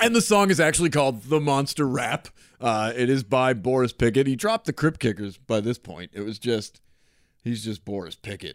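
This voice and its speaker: At a moderate pace, a man with a normal speaking voice talks at a medium pitch with lively intonation, the sound dry and close with no echo. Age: 30s. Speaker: podcast host. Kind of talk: casual chat.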